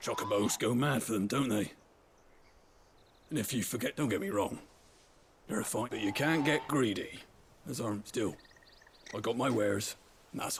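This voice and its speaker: A man puts on a raspy character voice at a medium pitch, moving at a moderate pace with long, frequent pauses. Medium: video game.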